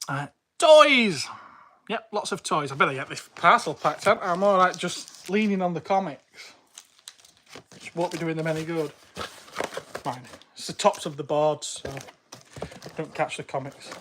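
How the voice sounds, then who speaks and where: At a moderate pace, the speaker has a British accent. Long, frequent pauses break up the speech. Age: 40s. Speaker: toy seller livestreamer. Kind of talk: casual livestream chat while packing.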